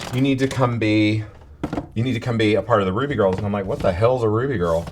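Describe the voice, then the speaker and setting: Over noticeable background noise, a man talks in a fairly low pitch with a Southern US accent and ordinary pitch variation. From US South. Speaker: drag performer. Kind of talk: interview.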